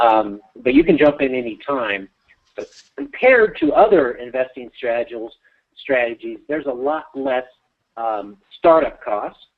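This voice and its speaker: At a moderate pace, a man talks in a plain, everyday voice, at a medium pitch with ordinary pitch variation. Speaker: real estate investing coach. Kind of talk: webinar teaching call.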